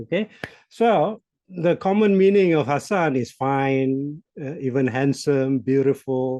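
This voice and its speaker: A man with a Malaysian accent, dark, mellow tone, lively intonation and fairly slow pace. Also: fairly high pitch for a man. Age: 60s. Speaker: business coach. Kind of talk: podcast interview.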